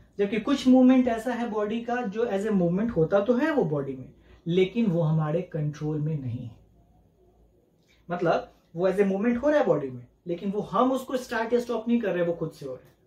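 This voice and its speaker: A man's high-pitched, dark and mellow voice at a moderate pace, with big swings in loudness and audible room echo. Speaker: teacher. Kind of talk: lecture. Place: home room.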